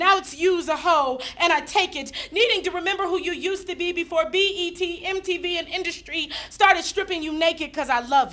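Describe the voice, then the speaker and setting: Raising and projecting her voice, a woman speaks at an extremely high pitch. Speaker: slam poet. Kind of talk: slam poetry performance. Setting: live audience. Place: hall. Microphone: camera far.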